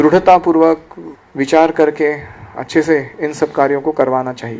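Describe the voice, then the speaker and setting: This man has a fairly high pitch. He speaks with a Marathi accent. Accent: Marathi-accented Hindi, self-described. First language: Marathi (speaking Hindi). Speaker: spiritual teacher. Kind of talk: lecture.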